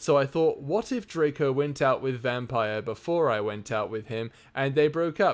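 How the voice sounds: The clip features a natural reading voice. It is heard from start to finish.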